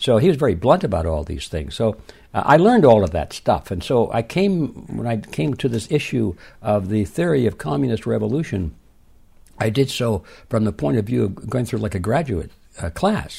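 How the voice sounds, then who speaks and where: A man with an American accent talks at a moderate pace in a dark, mellow tone with vocal fry. His pitch sits in the medium range yet makes very wide swings. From US Midwest, Detroit. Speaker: author. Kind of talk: interview. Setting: remote call.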